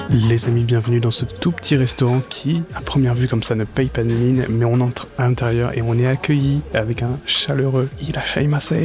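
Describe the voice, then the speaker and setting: A man whispers at a moderate pace with hardly any pauses, his loudness very even over noticeable background noise. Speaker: food and travel vlogger. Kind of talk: vlog food review. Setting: small restaurant counter. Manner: whispering; casual.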